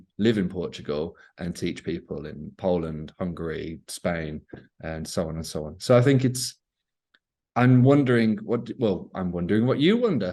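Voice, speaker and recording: A man with a British accent, a very deep, low pitch and a dark, mellow tone, lively intonation, big swings in loudness and a moderate pace. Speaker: English teacher. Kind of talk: casual conversation.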